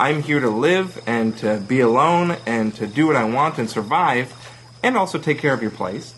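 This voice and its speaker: A man speaks at a moderate pace and medium pitch. His intonation is lively, with music in the background. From Toronto, Ontario. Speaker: comedian playing a recluse character. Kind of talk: improvised comedy chat.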